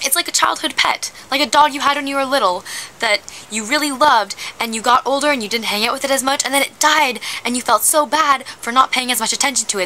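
There is light background noise. A woman talks at a very fast pace. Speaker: vlogger. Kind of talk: casual vlog chat. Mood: wistful, playfully dramatic. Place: garden. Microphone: phone near.

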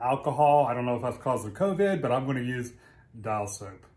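A man's somewhat breathy voice comes through at a fairly quick pace. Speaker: motorcycle owner vlogger. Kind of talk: casual unboxing and tutorial vlog. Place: garage. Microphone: camera far.

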